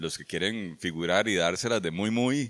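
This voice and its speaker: Speaking at a fairly slow pace, a man has a bright, sharp tone and lively intonation. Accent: Costa Rican. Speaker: writer. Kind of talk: casual chat. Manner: stammering.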